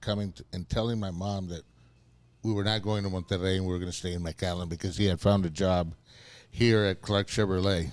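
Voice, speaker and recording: A man with a South Texas accent speaks at a fairly quick pace with fairly even intonation in a very clean recording with a silent background. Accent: South Texas Mexican-American English. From South Texas (Rio Grande Valley). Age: 60s. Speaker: city commissioner. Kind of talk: casual chat. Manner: halting, repeating words.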